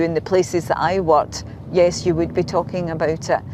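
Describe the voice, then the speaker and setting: Someone with a Scottish accent speaks at a moderate pace with fairly even intonation over noticeable background noise. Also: woman. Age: 60s. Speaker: retired health worker interviewee. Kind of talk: interview. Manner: halting, repeats words.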